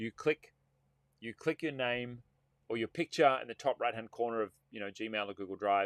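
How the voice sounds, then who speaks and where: In an Australian accent, a man with a medium pitch and ordinary pitch variation speaks at a fairly quick pace, the sound dry and close with no echo over a quiet background. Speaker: tech consultant and channel host. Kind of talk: live stream tutorial. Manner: casual, many fillers.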